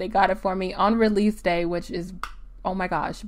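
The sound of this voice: A woman with an American accent, medium pitch and ordinary pitch variation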